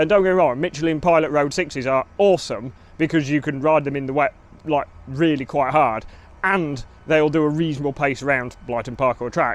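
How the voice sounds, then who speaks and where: This man has an English accent, a fairly high pitch, and ordinary pitch variation. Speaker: motorcycle racer and vlogger. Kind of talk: casual vlog commentary. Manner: animated; fast.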